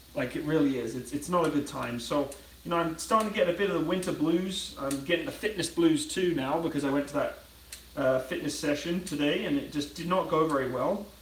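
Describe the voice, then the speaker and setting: Audible room echo and noticeable background noise surround a man's fairly high voice. He talks at a fairly quick pace with ordinary pitch variation. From Britain. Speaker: YouTuber. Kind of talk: casual live stream chat while cooking.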